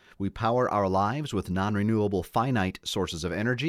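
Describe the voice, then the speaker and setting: This is an ordinary speaking voice, delivered at a moderate pace. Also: man. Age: 50s. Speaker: radio host and Presbyterian pastor. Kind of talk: interview on radio show. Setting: studio.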